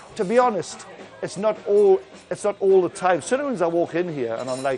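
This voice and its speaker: With a Geordie accent, a man talks at a fairly quick pace with a high pitch. His pitch swings very widely over noticeable background noise. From northern England, Newcastle upon Tyne. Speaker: bar entertainer. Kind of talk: interview.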